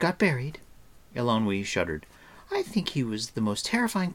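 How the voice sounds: The voice heard here is a natural reading voice.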